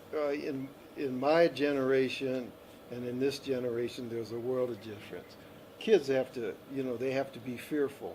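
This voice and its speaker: Noticeable background noise sits behind a man's voice of medium pitch. He speaks at a moderate pace with fairly even intonation. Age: 70s. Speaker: interviewee sharing life experience. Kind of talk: interview.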